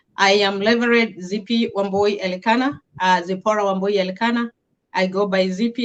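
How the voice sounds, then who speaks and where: Music plays in the background as a woman speaks at a moderate pace. Her medium pitch carries a fairly even intonation. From Kenya, Njoro. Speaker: reverend. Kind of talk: interview testimony.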